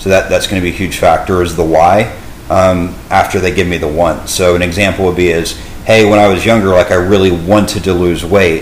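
Over noticeable background noise and audible room echo, a man with a Texan accent talks at a fairly quick pace in a very deep, low pitch with monotone, flat intonation. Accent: Texan American English. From Texas, Dallas area. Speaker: fitness coach. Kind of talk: casual interview.

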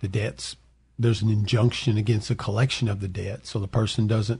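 Somewhat breathy and dark, mellow in tone, the voice keeps a fairly even intonation. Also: man, quiet background. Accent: Southern US. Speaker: bankruptcy attorney. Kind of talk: radio call-in advice show. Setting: studio.

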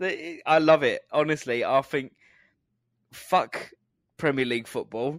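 With a southern English accent, a man talks at a fairly slow pace with long, frequent pauses, his fairly high pitch showing ordinary variation in a dry, close sound with no echo. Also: very clean recording, silent background. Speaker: podcast co-host. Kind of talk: casual chat. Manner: joking, good at accents.

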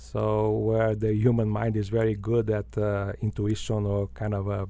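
Speaking with a Portuguese accent, a man goes along at a very slow pace. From Brazil, Belo Horizonte. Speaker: business school dean. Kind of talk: interview. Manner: halting, many fillers and repetitions.

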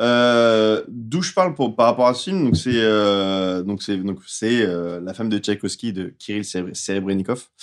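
Speech comes at a very slow pace with ordinary pitch variation over a quiet background. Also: man, fairly low pitch for a man. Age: 30s. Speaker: film podcast panelist. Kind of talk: casual chat.

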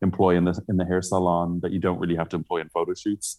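On a very clean recording with a silent background, a man with a Dublin accent speaks at a very deep, low pitch. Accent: Dublin Irish. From Ireland, Dublin. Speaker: celebrity hairstylist. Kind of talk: interview. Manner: halting, many fillers.

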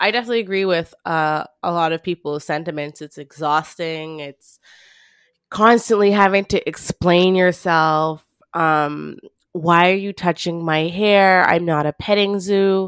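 An unremarkable speaking voice from a woman with a Canadian accent, fairly low in pitch, fairly slow and even in intonation, dry and close with no echo, in a very clean recording over a silent background. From Canada. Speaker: podcast co-host. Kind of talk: casual discussion.

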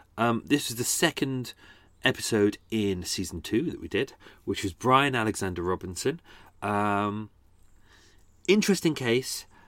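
A man with a London accent at medium pitch, lively intonation, a fairly slow pace and long, frequent pauses, on a very clean recording with a silent background. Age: 40s. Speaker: true crime podcaster and tour guide. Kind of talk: casual chat. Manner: hesitant, many fillers.

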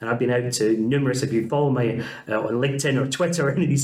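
With a Scottish accent, a man speaks at a very fast pace and medium pitch amid noticeable background noise. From Scotland. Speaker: university principal. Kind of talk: casual interview chat.

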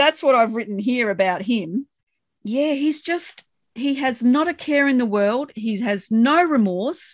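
Fairly slow, lively speech from a woman with a high pitch and an Australian accent. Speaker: podcast co-host discussing a TV show. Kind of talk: casual chat.

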